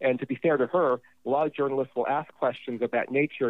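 A man with an American accent talks at a fairly quick pace in a medium pitch. He has an ordinary speaking voice and fairly even intonation. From Los Angeles, US. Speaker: film critic. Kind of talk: casual chat.

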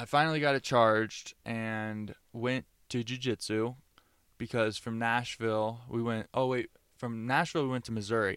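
With an American accent and an ordinary speaking voice, a man talks at a moderate pace and medium pitch with fairly even intonation, in a very clean recording with a silent background. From Florida. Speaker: travel podcast co-host. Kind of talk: casual chat.

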